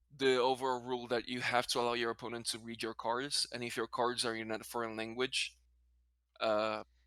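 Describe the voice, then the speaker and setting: Bright and sharp in tone, a man speaks at a fairly quick pace and medium pitch. His intonation stays monotone and flat. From Brazil, then Spanish-speaking country. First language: Portuguese. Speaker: card game content creator. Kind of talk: casual interview chat. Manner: halting, self-correcting.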